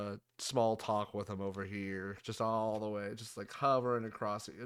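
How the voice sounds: This is a natural reading voice whose intonation is fairly even.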